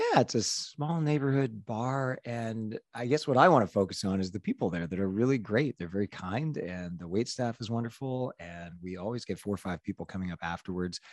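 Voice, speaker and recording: A man with an unremarkable speaking voice talks at a moderate pace and fairly low pitch, his intonation lively, in a dry, close sound with no echo. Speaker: podcast co-host. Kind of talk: casual chat. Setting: video call.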